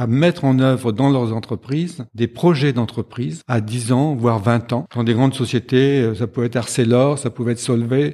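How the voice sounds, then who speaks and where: In a very clean recording with a silent background, a man speaks at a moderate pace and medium pitch, his tone dark and mellow, his pitch varying in an ordinary way, with hardly any pauses. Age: 70s. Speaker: executive coach and supervisor. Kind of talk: interview.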